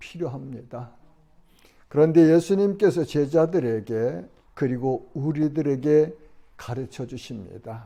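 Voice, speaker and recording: A man speaks in a dark, mellow tone. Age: 70s. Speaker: pastor. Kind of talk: sermon.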